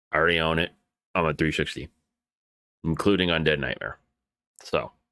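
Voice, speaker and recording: A man with a very deep, low pitch speaks at a fairly quick pace, with a bright, sharp tone, vocal fry and fairly even intonation. The recording is very clean, with a silent background. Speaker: gaming video creator. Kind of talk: let's play commentary. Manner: casual, conversational.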